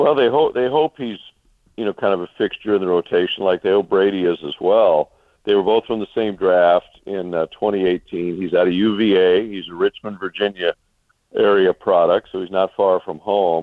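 A man with a plain, everyday voice talks at a fairly low pitch and moderate pace with ordinary pitch variation. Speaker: sports broadcaster. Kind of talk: casual interview.

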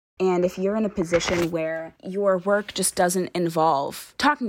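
A woman's fairly low voice with an American accent, an unremarkable speaking voice with ordinary pitch variation. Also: very clean recording, silent background. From Brockton, Massachusetts, US. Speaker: graduate student. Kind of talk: interview.

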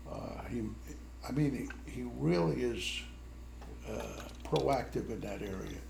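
Speech comes at a very slow pace with long, frequent pauses and ordinary pitch variation. Audible room echo surrounds the voice. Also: man, very deep, low pitch for a man. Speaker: retired army officer. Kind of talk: family conversation.

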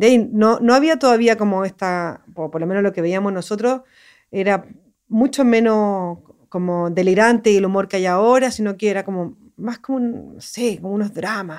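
A woman talks in a plain, everyday voice at a moderate pace, with medium pitch and ordinary pitch variation. The recording is very clean, with a silent background. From Chile, Santiago. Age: 40s. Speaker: animation director. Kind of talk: interview.

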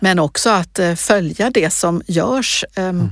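Recorded very cleanly against a silent background, a woman speaks at a very slow pace. Her pitch is fairly low, with ordinary variation. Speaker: regional politician. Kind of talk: interview. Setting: podcast studio.

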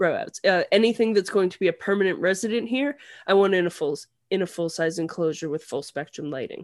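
Against a quiet background, a woman talks at a very fast pace with a medium pitch. Her intonation is lively, and her loudness swings widely. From Canada. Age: 30s. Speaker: reptile keeper. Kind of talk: casual chat.

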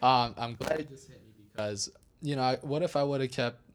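A man with an unremarkable speaking voice, medium pitch and a moderate pace. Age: 20s. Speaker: DJ and house music producer. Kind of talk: casual interview chat.

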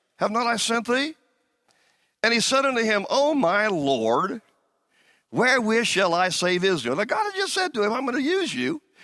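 Using a raised, projected voice, a man speaks at a moderate pace with a high pitch, very wide pitch swings and a bright, sharp tone. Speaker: pastor. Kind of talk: sermon. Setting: church with a congregation. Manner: animated, call-and-response preacher in full flow, urging the congregation to say amen; warm, fervent, exhorting.

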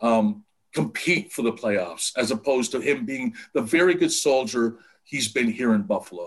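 A man does the talking. Very wide swings mark his pitch. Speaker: sports reporter. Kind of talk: casual chat. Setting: video call. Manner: slow, pensive.

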